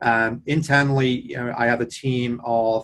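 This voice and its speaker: With an English accent, a man speaks at a medium pitch with ordinary pitch variation. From England. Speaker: tech executive. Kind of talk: interview.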